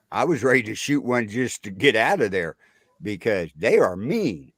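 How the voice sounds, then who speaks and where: A man speaks at a fairly slow pace with a fairly low pitch and vocal fry. His tone is animated, with very wide pitch swings. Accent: American. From Missouri. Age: 60s. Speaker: military veteran. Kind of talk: storytelling in casual chat.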